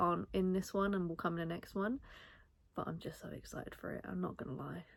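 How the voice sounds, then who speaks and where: A woman speaks with a British accent. Her pitch sits fairly low. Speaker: crochet content creator. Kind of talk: casual chat. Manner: animated.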